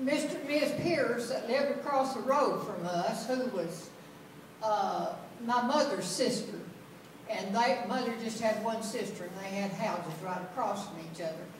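A woman speaks at a moderate pace, with audible room echo and light background noise. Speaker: storyteller. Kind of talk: personal story told to an audience. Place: church. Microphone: camera far.

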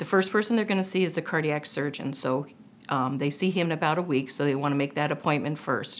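A woman talks at a very fast pace with a very deep, low pitch. Light background noise sits behind her. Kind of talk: interview answer.

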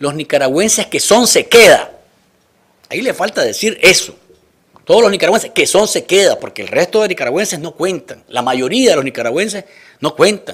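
A man speaks at a high pitch and moderate pace with lively intonation. The background is quiet. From Nicaragua. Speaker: news talk show host. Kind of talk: political interview show. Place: studio. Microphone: studio mic.

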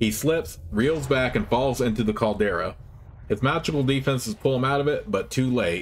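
The speaker uses a natural reading voice.

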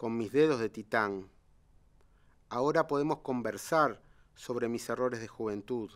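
This speaker has a Uruguayan accent and ordinary pitch variation. The delivery is fairly slow, over a quiet background. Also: man. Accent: Rioplatense Spanish (Uruguayan). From Uruguay, Montevideo. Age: 50s. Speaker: poet and economist; poet. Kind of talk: poetry reading; interview. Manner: halting, many fillers and repetitions. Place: studio.

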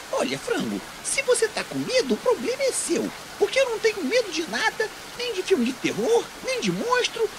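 A cartoonish character voice moves at a moderate pace against loud background noise.

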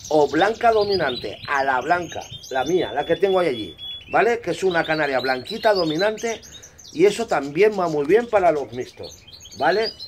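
A man speaks at a moderate pace in a high pitch with lively intonation. Noticeable background noise runs underneath. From Spain. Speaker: bird breeder and YouTuber. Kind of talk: casual hobby tutorial video.

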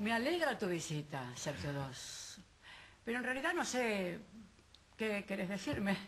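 The pitch swings very widely, and the pace is fairly slow. Light background noise can be heard. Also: woman. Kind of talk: scripted drama dialogue. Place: studio.

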